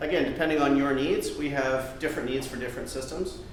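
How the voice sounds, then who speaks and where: Noticeable background noise and audible room echo around a man's fairly high-pitched voice. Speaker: tech executive giving a talk. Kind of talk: conference talk. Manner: fast.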